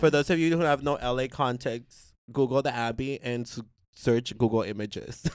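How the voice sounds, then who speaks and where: A man with an American accent, medium pitch and an animated tone on a very clean recording with a silent background. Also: ordinary pitch variation, moderate pace. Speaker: poet and performer. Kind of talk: casual chat. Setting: studio.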